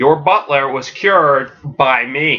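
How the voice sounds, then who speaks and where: In a put-on character voice, a man speaks with a smug, menacing tone at a fairly slow pace, his pitch fairly high and varying in an ordinary way. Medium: solo performance.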